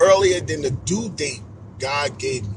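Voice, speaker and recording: Over noticeable background noise, a man with a fairly high pitch speaks in an animated tone, his pitch swinging very widely. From New York City (Queens, Astoria projects). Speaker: motivational speaker. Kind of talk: motivational talk on a live stream. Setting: social media live stream.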